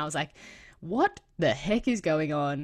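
On a very clean recording with a silent background, a woman speaks with an Australian accent. Her pitch is very deep and low. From Australia, south of Sydney (Cronulla area). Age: 20s. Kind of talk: interview conversation.

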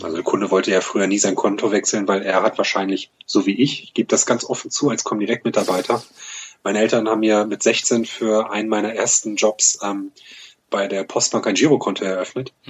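In an ordinary speaking voice, a man talks fairly quickly at a fairly low pitch, his intonation fairly even but his loudness swinging widely. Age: 30s. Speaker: fintech startup program manager at a bank. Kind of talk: interview.

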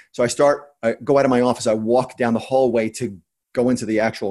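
This man has a New Jersey accent, medium pitch and fairly even intonation. The recording is very clean, with a silent background. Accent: New Jersey American. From US Northeast, New Jersey. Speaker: entrepreneur and investor. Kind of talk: interview. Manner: fast talker; blunt.

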